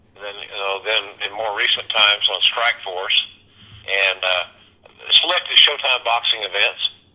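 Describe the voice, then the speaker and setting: A man at a moderate pace, big swings in loudness, and noticeable background noise. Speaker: wrestling play-by-play commentator. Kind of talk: interview answer.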